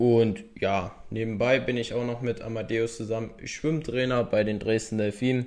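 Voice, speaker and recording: At a moderate pace and with hardly any pauses, a man speaks in a flat, monotone way at medium pitch while noticeable background noise plays behind him. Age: 20s. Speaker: podcast co-host, physiotherapy trainee. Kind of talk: casual podcast introduction.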